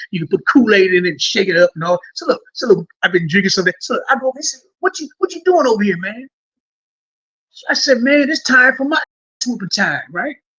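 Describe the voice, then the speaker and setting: Raising and projecting his voice, a man with an American accent talks at a fairly quick pace with very wide pitch swings in a dry, close sound with no echo. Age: 60s. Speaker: former prisoner. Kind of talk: storytelling interview. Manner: rambling, halting with repetitions.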